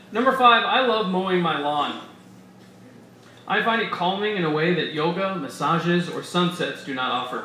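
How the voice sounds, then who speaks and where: Over noticeable background noise and audible room echo, a man with a high pitch talks at a moderate pace with lively intonation. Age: 30s. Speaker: essayist reading at a live literary event. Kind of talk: reading aloud a humorous personal essay. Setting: stage with audience in a bar.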